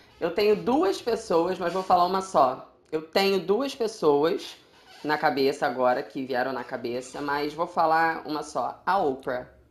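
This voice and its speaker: A woman talks fairly slowly with lively intonation while noticeable background noise carries on behind her. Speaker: podcast co-host. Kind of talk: casual chat. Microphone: echo in recording.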